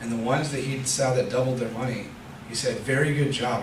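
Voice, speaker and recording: A man at medium pitch speaks at a fairly quick pace with fairly even intonation, with audible room echo and noticeable background noise. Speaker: lay preacher. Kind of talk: sermon. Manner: fast.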